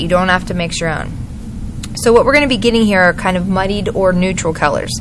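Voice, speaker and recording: Noticeable background noise and audible room echo fill the recording. A woman speaks at a medium pitch. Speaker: art teacher. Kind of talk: tutorial. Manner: fast.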